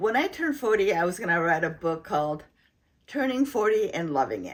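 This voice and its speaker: Her pitch moves up and down very widely. The woman's pace is fairly quick. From foreign-born, immigrant to the US. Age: 70s. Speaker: retired homemaker and video blogger. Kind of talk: reflective casual chat. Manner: relaxed, conversational.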